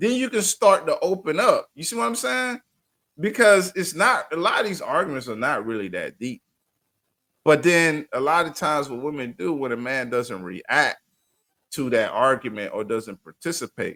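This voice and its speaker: Using very wide pitch swings and vocal fry, a man with a fairly high, bright, sharp voice speaks at a moderate pace. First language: not English. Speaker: podcast co-host. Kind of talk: casual chat.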